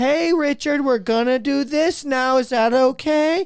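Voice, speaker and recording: A loud, put-on character voice, female-sounding and high-pitched, goes at a fairly slow pace. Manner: patronizing, slow and loud.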